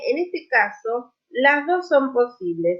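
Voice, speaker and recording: This woman speaks with an Argentine accent. Her pitch swings very widely. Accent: Rioplatense Argentine Spanish. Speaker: language teacher. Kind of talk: online lecture.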